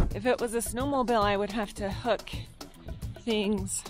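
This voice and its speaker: Clear music plays in the background as a woman speaks at a fairly slow pace in a dry sound with no echo. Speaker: mountain cabin vlogger. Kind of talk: casual vlog chat. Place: open country. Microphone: phone near.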